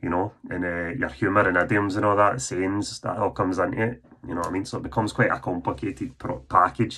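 A man with a Scottish accent, fairly low-pitched with vocal fry and a bright, sharp tone, with ordinary pitch variation at a very fast pace. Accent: Scottish, Lanarkshire. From Scotland. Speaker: author. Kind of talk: school presentation talk. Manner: casual, conversational. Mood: warm, earnest. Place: home room. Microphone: phone near.

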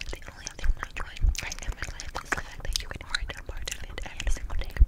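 A woman whispers at a very fast pace, her loudness swinging widely from moment to moment. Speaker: ASMR creator. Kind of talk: novel reading. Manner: whispered. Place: home room. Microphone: studio mic.

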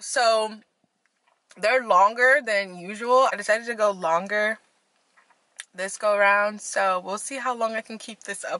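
The sound is dry, with no echo. A woman speaks at a fairly slow pace. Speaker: vlogger. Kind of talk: casual vlog chat. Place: car. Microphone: phone near.

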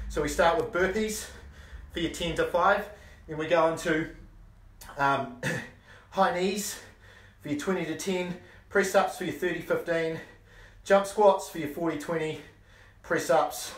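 With audible room echo, a man talks in a high pitch at a moderate pace, leaving long, frequent pauses. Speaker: fitness instructor. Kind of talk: workout instruction. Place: garage.

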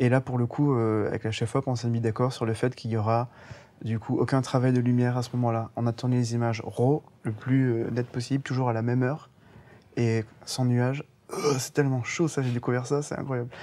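The man's dark, mellow voice moves at a fairly quick pace in a monotone, flat intonation. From Guadeloupe. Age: young. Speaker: animation film director. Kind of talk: interview. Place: hall.

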